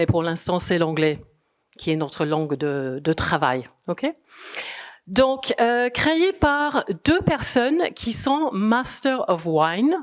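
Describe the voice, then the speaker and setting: Very wide pitch swings mark a woman's very slow speech at a medium pitch. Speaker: communication consultant presenting a wine association. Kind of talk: conference presentation. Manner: hesitant, many fillers.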